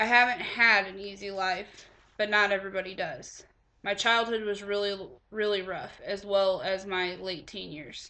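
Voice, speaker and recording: An unremarkable speaking voice from a woman of medium pitch, fairly even intonation and moderate pace, with big swings in loudness. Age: 20s. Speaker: college student. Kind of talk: class speech.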